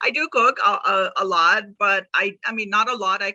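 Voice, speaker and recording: A woman speaks in a Pakistani accent at a medium pitch, with a bright, sharp tone. The sound is dry and close, with no echo. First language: Urdu. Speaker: author. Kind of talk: casual chat.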